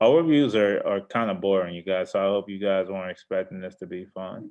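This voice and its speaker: Talking at a fairly quick pace, a man with a fairly low pitch and an ordinary speaking voice shows ordinary pitch variation and big swings in loudness. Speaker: forex trader and trading teacher. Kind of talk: trading market overview. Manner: relaxed, casual.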